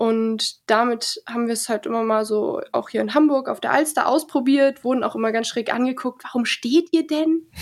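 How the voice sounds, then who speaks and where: This woman speaks at a moderate pace in a high pitch. Her pitch varies in an ordinary way. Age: 20s. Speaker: stand-up paddle surfing athlete. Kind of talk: interview.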